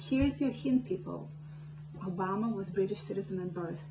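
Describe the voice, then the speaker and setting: A woman with a Russian accent speaks at a moderate pace, her pitch swinging very widely. Music plays in the background. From Soviet Union. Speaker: political activist. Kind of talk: political speech. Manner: impassioned.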